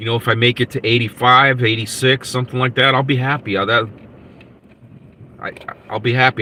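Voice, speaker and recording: Against noticeable background noise, a man with an American accent talks at a medium pitch and a moderate pace in a monotone, flat intonation. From United States. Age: 60s. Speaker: podcast host. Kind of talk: live podcast chat reading viewer comments. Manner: halting with many repetitions and fillers.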